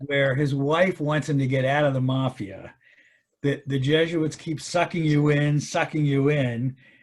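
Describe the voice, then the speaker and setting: Intonation stays fairly even at a moderate pace. A somewhat breathy quality runs through the voice. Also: man. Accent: American. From Baltimore, US. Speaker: retired parishioner. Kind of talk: interview. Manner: hesitant, many fillers.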